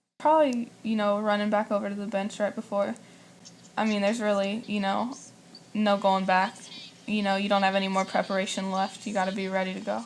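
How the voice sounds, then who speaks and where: Soft-spoken and fairly quick, a woman talks at a medium pitch with fairly even intonation. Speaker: college basketball player. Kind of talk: interview.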